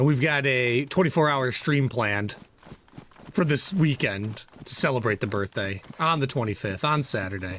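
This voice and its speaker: Over noticeable background noise, a man with an American accent speaks with lively intonation. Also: medium pitch for a man, moderate pace. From northern Michigan. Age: 40s. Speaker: gaming streamer. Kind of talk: casual livestream chat. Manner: animated.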